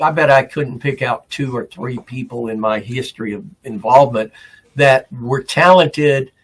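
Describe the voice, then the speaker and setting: A man's somewhat breathy voice at medium pitch, with fairly even intonation. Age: 70s. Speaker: veteran wrestling announcer. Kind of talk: casual interview chat.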